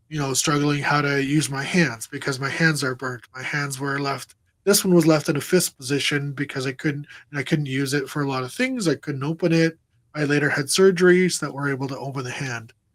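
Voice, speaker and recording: In a normal speaking voice, a man talks fairly high and fairly quickly with fairly even intonation. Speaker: crash survivor and motivational speaker. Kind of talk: interview testimony. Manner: repetitive, filler-heavy.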